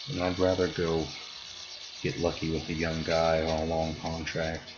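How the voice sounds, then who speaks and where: Music plays in the background as a man with a very deep, low pitch speaks at a moderate pace in a monotone, flat delivery, with audible room echo. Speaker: gaming streamer. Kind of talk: live stream gameplay commentary. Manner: casual, talking to himself.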